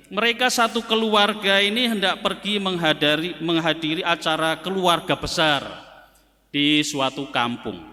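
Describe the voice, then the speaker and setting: Projecting a raised voice, a man speaks at a fairly slow pace with a bright, sharp tone and very wide pitch swings. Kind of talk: sermon.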